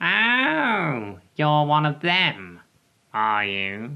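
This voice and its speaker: This put-on character voice has a low-to-middle pitch and very wide pitch swings. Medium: read story.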